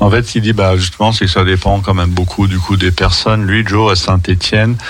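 The speech comes at a moderate pace with monotone, flat intonation, and background noise is noticeable. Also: man. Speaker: association coordinator. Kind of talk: radio interview. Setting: studio.

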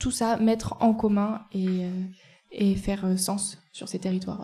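In a monotone, flat delivery, a woman speaks at a fairly slow pace and medium pitch with a somewhat breathy, dark, mellow tone. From Ardèche, France. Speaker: cycling traveller documenting community spaces. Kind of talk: live interview. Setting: café, live before an audience.

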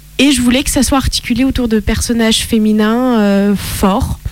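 Noticeable background noise sits behind a woman's voice. She speaks fairly slowly, with a fairly high pitch and fairly even intonation. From France, Italian roots. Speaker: author and actress. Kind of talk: casual interview.

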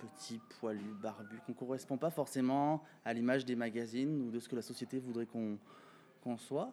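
At medium pitch, a man talks with ordinary pitch variation. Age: 30s. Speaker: pageant titleholder and show organizer. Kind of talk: interview.

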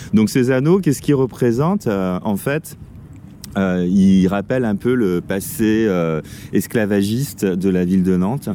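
Delivered at a fairly slow pace with ordinary pitch variation, the speech comes through noticeable background noise. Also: man. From Paris region, France. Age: 40s. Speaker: local guide. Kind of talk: casual chat.

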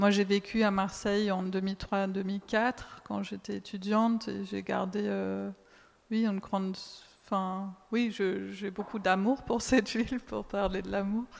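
Speaking very slowly, a woman uses a German accent and a medium pitch. Her intonation stays monotone and flat. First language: German (speaking French). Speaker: translator and sound artist. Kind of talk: public talk discussion.

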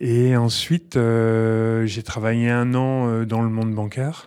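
In a very clean recording with a silent background, a man with a dark, mellow tone and medium pitch speaks at a very slow pace with fairly even intonation. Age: 50s. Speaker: organic farmer. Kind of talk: interview. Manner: halting.

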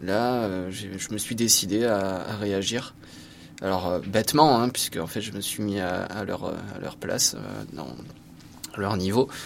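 Speaking at a very slow pace, a man uses a fairly low voice with ordinary pitch variation. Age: 30s. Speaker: high school history-geography teacher. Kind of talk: testimony. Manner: halting.

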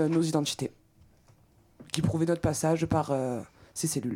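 A woman speaks at a fairly quick pace in a fairly low pitch, her dark, mellow tone carried on fairly even intonation. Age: 20s. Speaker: executive assistant, protest activist. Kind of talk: testimony on community radio.

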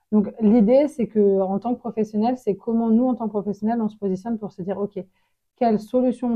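Somewhat breathy, a woman speaks at a fairly high pitch. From France, Congolese family. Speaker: association director and victimologist. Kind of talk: interview. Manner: hesitant, many fillers.

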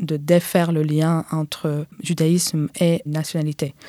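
A woman speaks very slowly in a very deep, low voice with a dark, mellow tone and monotone, flat intonation. The recording is very clean with a silent background, and the sound is dry and close with no echo. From Israel. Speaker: activist. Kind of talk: interview conversation. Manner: halting.

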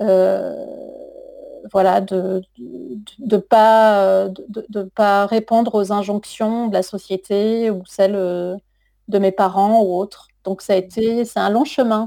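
A woman with a medium-pitched voice talks very slowly. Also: ordinary pitch variation. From southern France, Toulouse suburbs. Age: 40s. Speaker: writer and literature teacher. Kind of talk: radio interview.

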